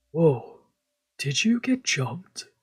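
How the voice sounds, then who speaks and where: A man puts on a character voice pitched high. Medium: virtual streamer. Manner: terse, calm.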